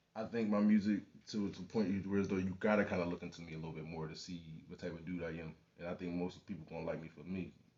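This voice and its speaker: A man with a very deep, low voice talks very fast, his loudness swinging widely while his intonation stays fairly even. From Philadelphia, northeast. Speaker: rapper. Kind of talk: interview. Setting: radio studio. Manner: casual, halting with many fillers.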